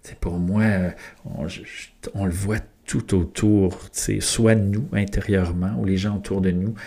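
A man's very deep, low voice at a very slow pace, with fairly even intonation. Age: 40s. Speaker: podcast host. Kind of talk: solo podcast monologue. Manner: hesitant, many fillers.

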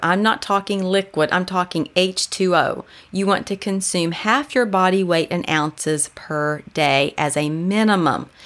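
A woman speaks at a fairly slow pace in a normal speaking voice, her medium pitch moving with ordinary variation. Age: 50s. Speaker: podcast host and health coach. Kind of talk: practical tips talk.

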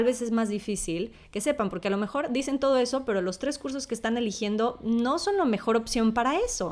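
A plain, everyday voice from a woman, fairly quick in pace, with lively intonation. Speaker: podcast host, scholarship alumna. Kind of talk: casual panel chat.

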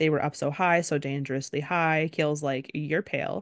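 A woman's very deep, low voice with a playful tone and ordinary pitch variation, at a moderate pace, dry and close with no echo against a quiet background. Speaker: podcast co-host. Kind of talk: casual chat, book discussion. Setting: recorded at home in the evening. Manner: joking, playful, laughs often.

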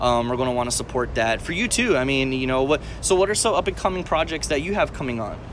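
A man talks at a very fast pace, with hardly any pauses and lively intonation. Noticeable background noise sits behind him. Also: medium pitch for a man. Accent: American. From Texas, San Antonio. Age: 20s. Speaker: podcast host, aspiring actor and comedian. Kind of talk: casual chat. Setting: recorded on a tablet.

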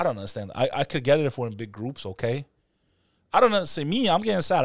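A man speaks very fast in a New York accent, his pitch fairly high, on a very clean recording with a silent background. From New York City. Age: 30s. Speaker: podcast host. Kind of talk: casual chat. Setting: studio.

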